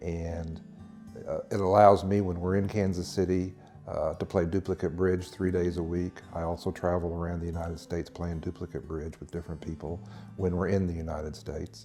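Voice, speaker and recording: Music plays in the background as a man speaks at a fairly quick pace. His pitch is very deep and low, and his intonation is monotone and flat. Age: 60s. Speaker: retired company employee. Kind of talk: testimonial interview.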